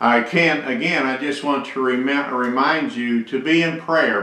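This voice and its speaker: A man speaks at a fairly slow pace with ordinary pitch variation. Audible room echo surrounds his voice. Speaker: church pastor. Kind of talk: sermon. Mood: earnest, pastoral. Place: office. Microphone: webcam.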